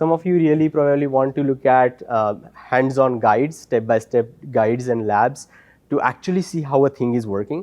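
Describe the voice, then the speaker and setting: A man talks at a moderate pace. His voice sits at a medium pitch with ordinary pitch variation. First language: non-English. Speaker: conference speaker, DevOps architect. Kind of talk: conference talk. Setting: stage with audience. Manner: halting, many fillers.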